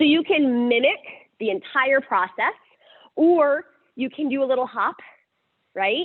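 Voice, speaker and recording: A woman speaks loudly in a high pitch with lively intonation. She leaves long, frequent pauses. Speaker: yoga teacher. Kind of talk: guided yoga class instruction. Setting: livestreamed yoga class.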